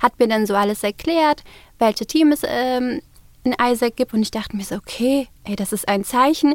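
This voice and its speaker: This woman's voice sits high in pitch. She keeps to a moderate pace. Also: ordinary pitch variation. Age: 20s. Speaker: student society officer. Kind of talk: interview. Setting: studio.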